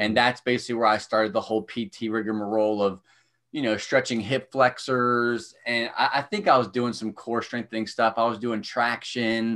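At a moderate pace, a man talks in an ordinary speaking voice, recorded very cleanly with a silent background. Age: 30s. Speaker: strength coach. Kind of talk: casual chat.

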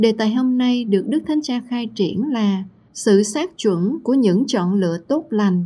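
A woman's fairly high, somewhat breathy voice with a dark, mellow tone, lively intonation and a fairly slow pace. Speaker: radio news presenter. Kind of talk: news reading.

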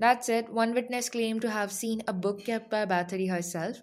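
In a very clean recording with a silent background, a woman speaks at a medium pitch and a moderate pace in a dramatic tone. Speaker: podcast narrator. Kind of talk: true-crime narration, scripted storytelling read aloud. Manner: dramatic, measured, storyteller tone with ominous emphasis; formal, steady delivery.

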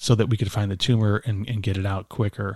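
The sound is dry and close with no echo, in a very clean recording with a silent background. A man talks at a fairly low pitch, somewhat breathy. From Chicago area, Illinois. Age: 50s. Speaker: pastor and businessman. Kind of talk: interview testimony. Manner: energetic.

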